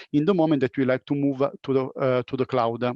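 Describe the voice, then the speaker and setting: A plain, everyday voice in a dry, close sound with no echo and a quiet background. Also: man. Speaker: panel moderator. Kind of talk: panel discussion.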